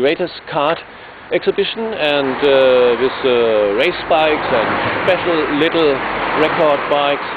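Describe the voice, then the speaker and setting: A fairly high-pitched man with a German accent at a fairly slow pace, over noticeable background noise. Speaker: electric vehicle racer and activist. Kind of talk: video presentation. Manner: halting, many fillers.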